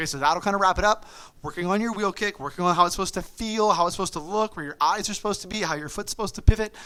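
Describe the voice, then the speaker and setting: A man's high-pitched voice, bright and sharp in tone, animated and very fast. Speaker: martial arts instructor. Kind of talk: online class instruction.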